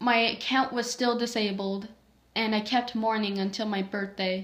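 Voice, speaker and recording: A woman speaks with ordinary pitch variation. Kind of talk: reading own creepypasta story aloud.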